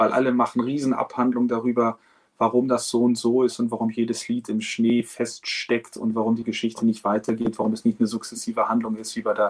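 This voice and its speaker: The speaker talks at a fairly quick pace in a monotone, flat intonation. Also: man. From Hamburg, northern Germany. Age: 40s. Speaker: opera singer. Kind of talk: interview.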